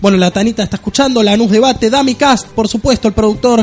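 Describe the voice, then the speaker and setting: A man speaks at a high pitch. Noticeable background noise runs behind him. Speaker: radio show host. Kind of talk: live radio talk. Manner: animated.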